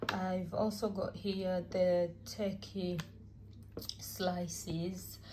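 A woman speaks at a very slow pace. Her pitch moves very little. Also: fairly low pitch for a woman.

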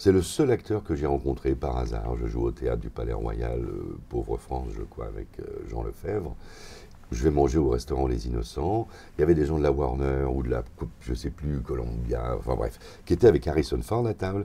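A man's very deep, low pitch at a moderate pace, with ordinary pitch variation. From France. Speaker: voice actor. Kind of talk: interview answer. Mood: amused anecdote telling. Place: home room. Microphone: lapel.

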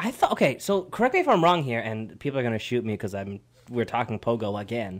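Delivered at a very fast pace, the speech has an animated tone and lively intonation. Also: man. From Canada. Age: 20s. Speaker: radio co-host. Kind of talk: casual radio chat. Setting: radio studio. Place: studio. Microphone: studio mic.

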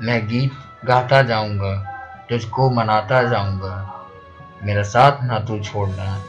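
Over music in the background, a man with a fairly low pitch speaks with fairly even intonation. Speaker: poet. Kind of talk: poetry reading.

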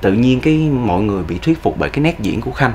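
A man's fairly quick speech with lively intonation over light background noise. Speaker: actor guest. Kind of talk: interview answer. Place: studio.

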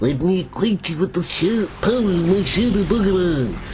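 A strained, put-on character voice at middle pitch is heard over loud background noise. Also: moderate pace. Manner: strained, theatrical villain.

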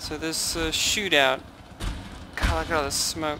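Over noticeable background noise, a man talks at a fairly slow pace with a fairly high pitch. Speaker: strategy game YouTuber. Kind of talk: gameplay replay commentary.

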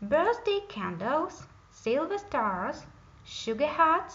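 A woman's put-on character voice, high-pitched and fairly bright, with big pitch swings, a slow pace and audible room echo

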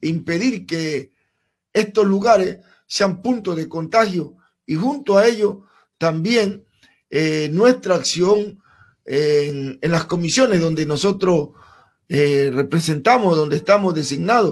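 A man's high-pitched voice at a very slow pace. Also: quiet background. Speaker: interview guest. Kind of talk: interview answer. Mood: calm, formal account. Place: studio. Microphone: studio mic.

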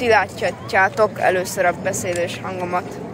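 A woman speaks at a fairly slow pace. The sound is dry with no echo, but there is noticeable background noise. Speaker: vlogger. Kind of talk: casual vlog chat. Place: street.

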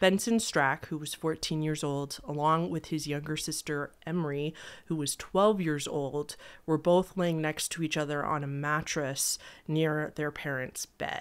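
This woman's voice sits at a very deep, low pitch with ordinary variation. She speaks at a fairly slow pace. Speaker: true crime video host. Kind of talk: storytelling commentary. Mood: serious, somber. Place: home room. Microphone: studio mic.

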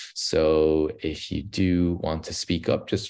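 A man speaks very slowly in a very deep, low pitch, with vocal fry. His pitch varies in an ordinary way. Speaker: webinar host. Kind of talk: event introduction. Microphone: video call.

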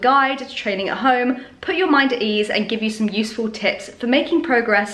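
A high-pitched woman's voice at a fairly quick pace, with ordinary pitch variation. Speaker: fitness vlogger. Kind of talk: casual vlog chat. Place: kitchen. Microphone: phone near.

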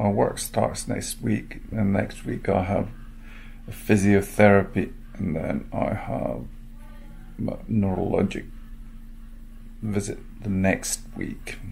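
Speech with vocal fry comes at a very slow pace with long, frequent pauses over light background noise. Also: man, fairly low pitch for a man, ordinary pitch variation. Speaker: vlogger. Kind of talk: casual vlog chat. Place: home room. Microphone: phone near.

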